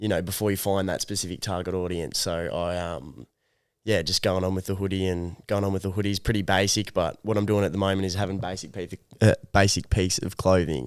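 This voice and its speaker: A man with an Australian accent speaks at a fairly quick pace. His very deep, low voice stays fairly even in intonation. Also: very clean recording, silent background. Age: 20s. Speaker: young clothing brand founder. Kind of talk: interview. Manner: casual, hesitant with fillers.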